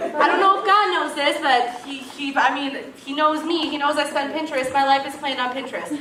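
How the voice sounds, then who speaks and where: Amid crowd noise and audible room echo, a woman with a raised, projected voice and an animated tone talks at a fairly quick pace with hardly any pauses, her high-pitched voice showing ordinary pitch variation and big swings in loudness. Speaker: speaker introducing herself to a church group. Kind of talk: casual talk to a group.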